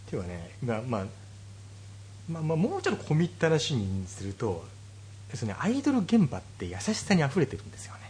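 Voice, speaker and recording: Somewhat breathy and fairly low in pitch, a man talks at a fairly quick pace with very wide pitch swings and long, frequent pauses. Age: 30s. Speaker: podcast host. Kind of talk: casual chat.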